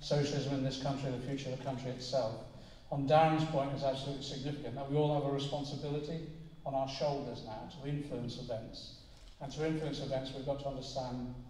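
Audible room echo surrounds the voice. It moves at a very fast pace with monotone, flat intonation. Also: man. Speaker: politician addressing a meeting. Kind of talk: political speech. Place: hall.

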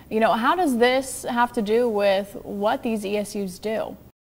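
Faint music plays in the background. A woman with a fairly high pitch speaks at a moderate pace. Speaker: TV news anchor. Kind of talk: live news anchoring with crosstalk and interviews. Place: studio.

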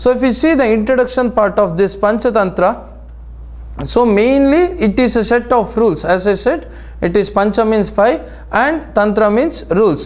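A man speaks in a high voice at a very even loudness, with audible room echo around him. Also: ordinary pitch variation, moderate pace. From India. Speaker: naturopathy lecturer. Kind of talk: lecture. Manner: halting, many fillers.

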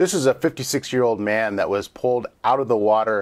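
Ordinary pitch variation from a man talking at a moderate pace. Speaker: news anchor. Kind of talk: live local news broadcast, newsreading and weather report. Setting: studio. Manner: conversational yet formal, steady newsroom pace with frequent filler hesitations; earnest, cautionary tone when urging water safety. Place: studio.

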